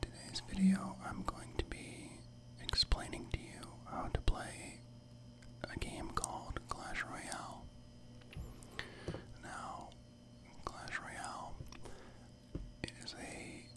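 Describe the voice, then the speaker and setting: Whispering in a relaxed, calm tone, the speaker goes at a very slow pace with long, frequent pauses over noticeable background noise. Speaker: ASMR gaming channel host. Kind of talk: casual gameplay commentary and tutorial. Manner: soft-spoken, relaxed, calm.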